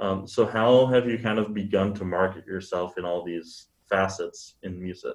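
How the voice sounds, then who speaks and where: A man with a fairly low pitch talks at a moderate pace with hardly any pauses and fairly even intonation, an ordinary speaking voice. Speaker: podcast host. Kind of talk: interview.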